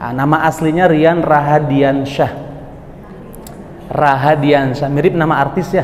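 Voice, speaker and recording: A man with a West Javanese accent talks at a fairly slow pace, with fairly high pitch and monotone, flat intonation, leaving long, frequent pauses. Noticeable background noise and audible room echo fill the recording. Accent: noticeable West Java. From West Java, Bogor. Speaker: Islamic preacher. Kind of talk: religious lecture. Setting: mosque with audience. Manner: casual, conversational with audience.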